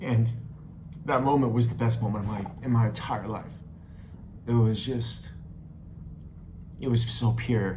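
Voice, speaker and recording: In a room with audible echo, a man of medium pitch speaks at a fairly slow pace with long, frequent pauses. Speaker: travel vlogger. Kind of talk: personal storytelling. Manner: halting.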